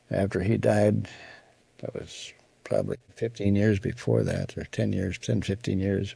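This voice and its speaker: Speaking at a fairly slow pace, a man talks in an Upper Midwest accent. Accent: Upper Midwest American. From Wisconsin, USA. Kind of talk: interview answer. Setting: home recording.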